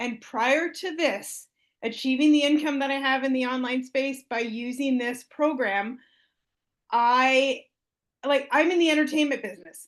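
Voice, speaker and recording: The background stays quiet as a woman speaks at a high pitch. Her pace is moderate and her pitch variation ordinary. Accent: Canadian. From Canada, Ontario. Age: 50s. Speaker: program member sharing success story. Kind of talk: testimony.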